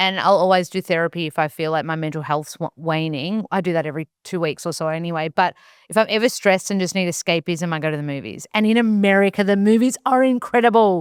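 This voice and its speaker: An Australian woman with a fairly low voice talks very fast and animatedly, hardly pausing at all. The recording is very clean and dry, close with no echo, against a silent background. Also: ordinary pitch variation. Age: 30s. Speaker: nutritionist and actor. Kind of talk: casual chat.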